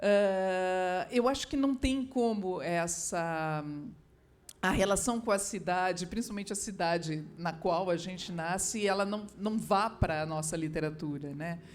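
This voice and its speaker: Audible room echo surrounds a woman who speaks at a fairly slow pace, at a medium pitch with ordinary pitch variation. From southern Brazil, Porto Alegre. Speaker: writer. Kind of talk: literary panel talk. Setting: stage with audience. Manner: halting.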